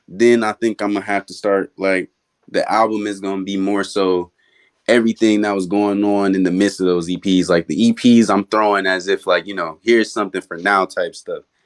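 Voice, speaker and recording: A man's fairly low-pitched, monotone, flat delivery at a moderate pace, in a very clean recording with a silent background and a dry, close sound with no echo. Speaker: rapper. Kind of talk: casual interview. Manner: talks like he raps.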